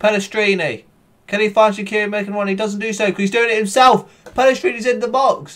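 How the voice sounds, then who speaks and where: In an animated tone, a man talks at a very fast pace and a high pitch. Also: ordinary pitch variation. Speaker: gaming YouTuber. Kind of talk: live match commentary over game footage, voiced as a play-by-play call. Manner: excitable, breathless, building to shouts at goals; fast, animated, overcome with emotion.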